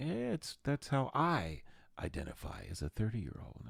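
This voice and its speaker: On a very clean recording with a silent background, a man speaks at a fairly slow pace. His pitch swings very widely. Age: 60s. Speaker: podcast host and jazz musician. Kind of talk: casual solo podcast monologue. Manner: animated.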